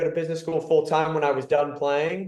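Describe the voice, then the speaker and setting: Speaking with an American accent, a man uses a normal speaking voice with fairly even intonation. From California. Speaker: football club executive and former player. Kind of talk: podcast interview. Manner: conversational, some repetitions.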